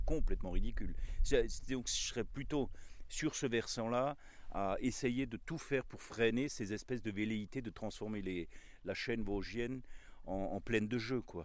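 A man is speaking. His pace is moderate. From Alsace, Vosges valley. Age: 60s. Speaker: botanist and former pastor. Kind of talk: casual interview. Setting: outdoors. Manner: halting, many hesitations.

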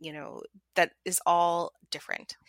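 A bright, sharp tone comes through at a fairly slow pace in a very clean recording with a silent background. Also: woman, dry, close sound with no echo. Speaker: mental health therapist. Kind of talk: interview. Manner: gentle, compassionate.

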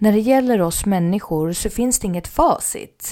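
On a very clean recording with a silent background, a woman speaks fairly high with a dark, mellow tone and lively intonation. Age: 40s. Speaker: podcast host. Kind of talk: solo casual talk.

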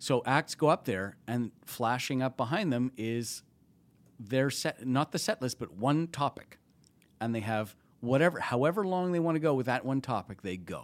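A man with a normal speaking voice, medium pitch and a Canadian accent, at a moderate pace with lively intonation, in a dry, close, echo-free and very clean recording with a silent background. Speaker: TV and film producer at a comedy festival. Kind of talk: casual interview chat.

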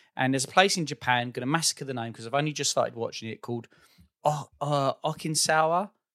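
A man with an Essex accent at a very fast pace, fairly high in pitch, with ordinary pitch variation, big swings in loudness and a dry, close sound with no echo. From Essex, England. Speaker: podcast host. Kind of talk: casual chat.

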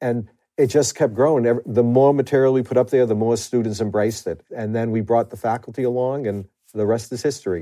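A man's medium-pitched voice in a Boston accent at a fairly quick pace. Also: fairly even intonation. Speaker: university administrator and professor. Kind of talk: interview, conversational.

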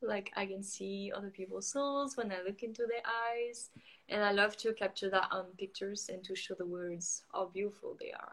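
Speaking with a French accent, a woman holds a medium pitch, a moderate pace and fairly even intonation. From France. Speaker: photographer and coach. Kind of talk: casual chat. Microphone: sounds far away, weak Wi-Fi.

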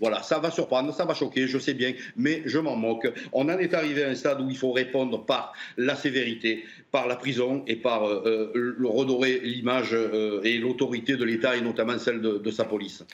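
A man with a Marseille accent, medium in pitch, at a moderate pace and very even loudness. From Marseille, southern France. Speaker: former police officer. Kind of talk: televised debate. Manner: animated.

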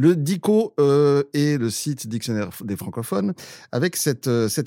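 In a very clean recording with a silent background, a man with a slight Swiss French accent talks with lively intonation and a dark, mellow tone. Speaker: podcast host. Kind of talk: comedic news panel chat.

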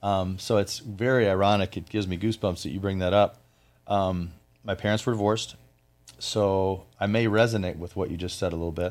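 With a normal speaking voice and an American accent, a man speaks at a fairly quick pace and fairly low pitch, his intonation fairly even, in a very clean recording against a silent background. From US Midwest, Flint, Michigan. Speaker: business owner. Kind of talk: interview.

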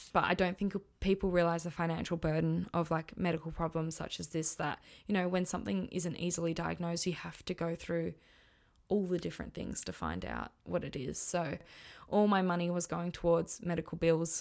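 Speaking at a fairly quick pace in an Australian accent, a woman with a fairly low voice keeps a monotone, flat intonation in a very clean recording with a silent background. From Western Australia. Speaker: podcast host. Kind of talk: personal testimony monologue.

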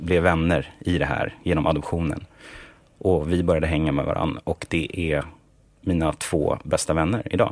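A man with a very deep, low pitch speaks at a moderate pace with ordinary pitch variation and long, frequent pauses. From Sweden, Stockholm. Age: 30s. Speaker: songwriter and music producer. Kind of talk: interview.

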